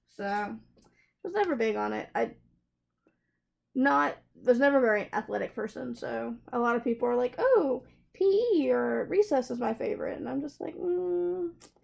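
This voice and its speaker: Speaking in a Southern US accent, a woman leaves long, frequent pauses. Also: moderate pace. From US South, South Carolina. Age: 20s. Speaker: craft hobby youtuber. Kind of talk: casual Q&A chat while crafting. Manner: chatty, hesitant with fillers.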